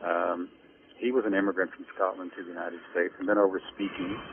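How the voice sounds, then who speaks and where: An ordinary speaking voice: a man with an American accent, fairly low in pitch, talking at a moderate pace with ordinary pitch variation. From Kansas, Great Plains. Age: 60s. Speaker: historian, author. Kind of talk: interview.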